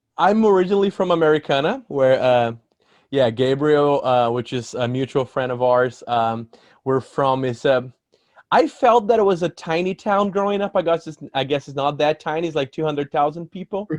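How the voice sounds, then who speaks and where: Dry, close sound without any echo, and intonation full of life. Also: man, fairly high pitch for a man, moderate pace. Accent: Portuguese. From Brazil, São Paulo State. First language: Portuguese. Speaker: musician. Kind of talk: casual interview.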